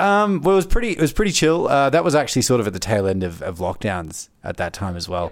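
A man with an Australian accent at a fairly high pitch, very fast pace, hardly any pauses and very wide pitch swings, in a very clean recording with a silent background. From Melbourne, Australia. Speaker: public service graduate. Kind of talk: casual chat. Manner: halting, many fillers and repeats.

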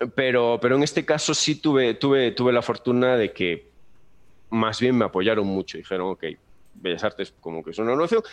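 Lively intonation marks a man's medium-pitched voice with a Galician accent. He keeps a moderate pace against a quiet background. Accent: Peninsular Spanish, Galician. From Galicia, Spain. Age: 30s. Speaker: animation teacher. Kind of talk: casual interview.

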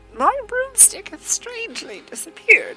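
Over clear background music, a woman uses a put-on character voice at an extremely high pitch, cackling. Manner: chattering, cackling, wheedling.

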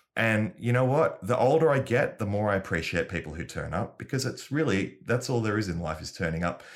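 In a plain, everyday voice, a man with a fairly low pitch speaks at a fairly quick pace, recorded very cleanly with a silent background. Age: 40s. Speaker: comedian. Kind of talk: casual chat.

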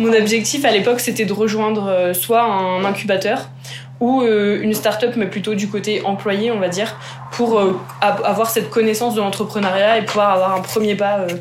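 Speaking at a moderate pace with fairly even intonation, a woman with a medium pitch is heard amid audible room echo and noticeable background noise. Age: 20s. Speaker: startup co-founder, agronomist. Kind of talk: interview.

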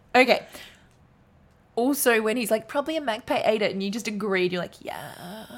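At a moderate pace, a woman with a fairly high pitch and ordinary pitch variation talks with long, frequent pauses and big swings in loudness. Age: 30s. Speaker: podcast co-host. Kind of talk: casual chat.

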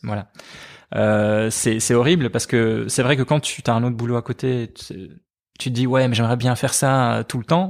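Recorded very cleanly against a silent background, a man talks at a moderate pace in a plain, everyday voice of medium pitch. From Belgium, Liège. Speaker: cartoonist. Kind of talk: casual interview.

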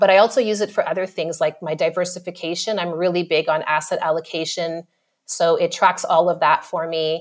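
With a Canadian accent, a woman uses an ordinary speaking voice at a fairly low pitch, fairly even intonation and a fairly quick pace, on a very clean recording with a silent background. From Canada, Ottawa. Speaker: marketing manager. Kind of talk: podcast interview.

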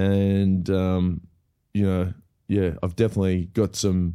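A man's very deep, low voice with an Australian accent, dark and mellow in tone, flat and monotone, at a fairly slow pace, on a very clean recording with a silent background. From Australia, Melbourne. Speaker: comedian and actor. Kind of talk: casual interview chat. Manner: laid back.

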